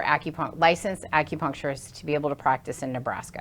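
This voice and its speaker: A woman talks at a very fast pace. Her intonation stays fairly even over a quiet background. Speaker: acupuncturist. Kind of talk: interview. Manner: loud.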